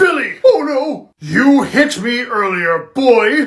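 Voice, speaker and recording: Pitched high and swinging very widely in pitch, a put-on character voice drawls at a very slow pace. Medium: comedy sketch. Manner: menacing.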